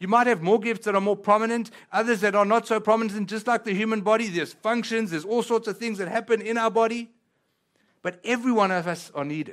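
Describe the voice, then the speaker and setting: A man's high, animated voice at a fairly quick pace, with ordinary pitch variation, on a very clean recording with a silent background. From South Africa. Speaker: pastor. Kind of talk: sermon. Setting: church.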